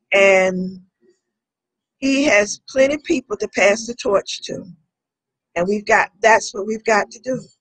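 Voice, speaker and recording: At a fairly slow pace broken by long, frequent pauses, a woman with a fairly high, somewhat breathy voice speaks with ordinary pitch variation and big swings in loudness, in a dry, close sound with no echo. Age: 70s. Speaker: civil rights organization member. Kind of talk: interview.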